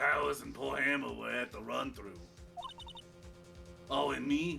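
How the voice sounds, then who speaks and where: A man's raspy put-on character voice, fairly low in pitch with very wide pitch swings, at a moderate pace over clear music in the background. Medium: game stream. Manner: prickly, gossipy.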